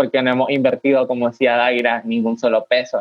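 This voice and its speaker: The voice belongs to a man. It sits at a mid-level pitch. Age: 20s. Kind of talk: casual virtual panel chat. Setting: video call.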